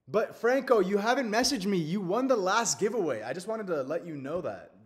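Against a quiet background, a man talks at a fairly quick pace with lively intonation. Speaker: livestream host. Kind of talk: casual livestream chat. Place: home room.

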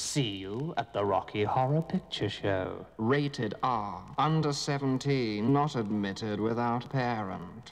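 His pitch shows ordinary variation. The man keeps to a fairly slow pace. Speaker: actor. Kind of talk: radio commercial read. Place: studio. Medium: radio commercial.

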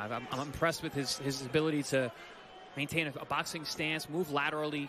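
Over noticeable background noise, a man speaks in a confident tone with a fairly high pitch and fairly even intonation. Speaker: boxing analyst. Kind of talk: live boxing commentary. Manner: confident, instructive analyst tone, rattling off tips.

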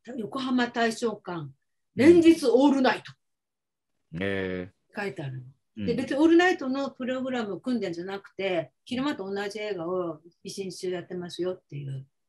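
The background is quiet. The pace is moderate. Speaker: remote guest. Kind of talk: conversational anecdote. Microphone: video call.

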